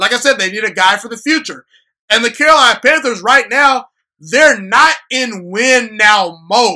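Extremely high-pitched and bright, sharp in tone, a man's raised, projected voice comes across animated at a moderate pace on a very clean recording with a silent background. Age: 20s. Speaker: sports podcast host. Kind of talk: solo sports commentary podcast.

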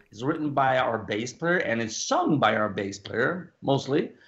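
This man talks at a moderate pace with a Norwegian accent. His pitch is medium. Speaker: rock singer. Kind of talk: casual interview.

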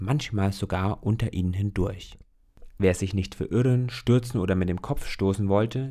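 Pitch moves in an ordinary way here. The delivery is an unforced reading voice.

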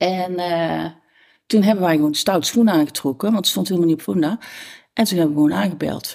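A woman speaks with a plain, everyday voice at a fairly quick pace. Her pitch is fairly low, with ordinary pitch variation. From Tilburg-Noord, Netherlands (North Brabant). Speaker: neighbourhood resident. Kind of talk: casual interview chat.

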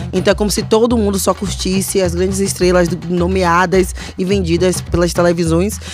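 A woman at a moderate pace with very even loudness, amid noticeable background noise and audible room echo. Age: 30s. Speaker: podcast co-host. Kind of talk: casual chat. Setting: studio.

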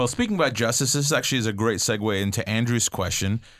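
A man's ordinary speaking voice, medium in pitch, with lively intonation over a quiet background. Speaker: podcast host. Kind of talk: podcast hosting. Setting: studio.

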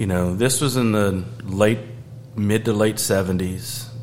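Over noticeable background noise, a man with an American accent talks at a fairly slow pace in a fairly low pitch. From US South, Georgia. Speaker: beer sales manager. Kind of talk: casual chat.

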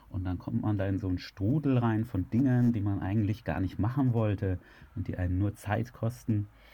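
A man talks at a moderate pace in a fairly low pitch, with ordinary pitch variation. His voice is somewhat breathy. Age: 30s. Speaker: software entrepreneur and podcaster on self-improvement. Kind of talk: interview.

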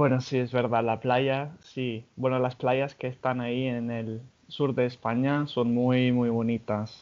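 A man with an English accent speaks very slowly at a medium pitch in a monotone, flat intonation, with hardly any pauses. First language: English (speaking Spanish). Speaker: podcast host. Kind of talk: casual chat.

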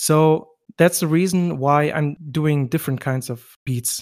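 A man's fairly high voice at a very slow pace, with a dry, close sound and no echo. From West Germany, Turkish roots. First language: German. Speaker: music producer. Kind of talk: interview. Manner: halting.

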